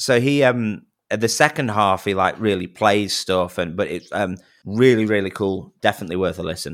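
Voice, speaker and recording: Very clean recording with a silent background, a man in a Manchester accent, fairly low pitch, moderate pace. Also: ordinary pitch variation. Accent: Manchester-area English. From northern England, near Manchester. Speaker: wedding singer and YouTuber. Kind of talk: casual interview chat.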